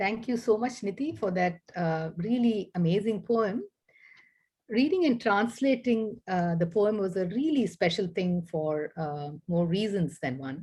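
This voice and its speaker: With a Tamil accent, a woman speaks at a fairly slow pace in a dark, mellow, somewhat breathy voice with lively intonation, over a quiet background. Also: medium pitch for a woman. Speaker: poet and professor. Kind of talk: event presentation; poetry reading.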